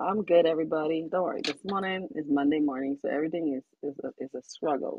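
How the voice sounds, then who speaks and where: A woman's very deep, low voice at a very fast pace, with ordinary pitch variation and hardly any pauses. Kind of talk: casual chat.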